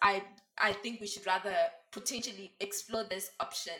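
A woman speaks in a plain, everyday voice. Her pace is moderate, with ordinary pitch variation. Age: 20s. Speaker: feminism discussion guest. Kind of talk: casual chat.

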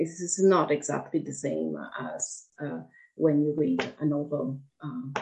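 A woman with an Italian accent, speaking at a fairly slow pace. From Italy. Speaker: author. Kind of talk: interview conversation. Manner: halting, hesitant with fillers.

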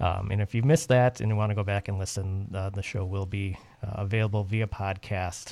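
Using an unremarkable speaking voice, a man talks at a fairly quick pace in a fairly low pitch on a very clean recording with a silent background. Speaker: radio host. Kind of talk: radio DJ patter: station ID, time check, show promo. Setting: radio studio. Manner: warm, brisk, upbeat, announcer-style.

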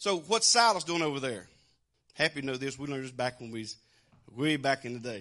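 A man in a Southern US accent, very fast yet with long, frequent pauses, his fairly high voice animated, bright and sharp, with lively intonation and big swings in loudness. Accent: Southern American. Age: 60s. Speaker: preacher. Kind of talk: sermon.

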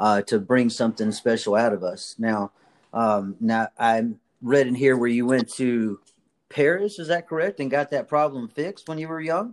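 This man has an unremarkable speaking voice at medium pitch, with lively intonation and a moderate pace. The sound is dry and close, with no echo. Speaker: podcast host. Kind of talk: interview, upbeat motivational chat.

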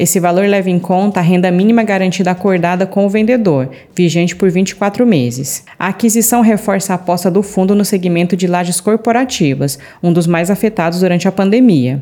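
A woman with a Brazilian accent talks fairly quickly, with hardly any pauses. Her medium-pitched voice is dark and mellow, with ordinary pitch variation and very even loudness. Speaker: news presenter. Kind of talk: newsreading. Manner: formal, steady, even-paced delivery of figures and headlines; polished, neutral, like a scripted bulletin.

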